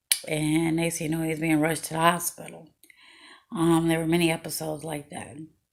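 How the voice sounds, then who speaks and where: A woman with an American accent and a fairly low voice talks very fast in a monotone, flat intonation. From Chicago, Illinois, US Midwest. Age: 40s. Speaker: memoir storyteller. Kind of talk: personal storytelling video. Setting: at home, video recording. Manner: casual, hesitant with many fillers.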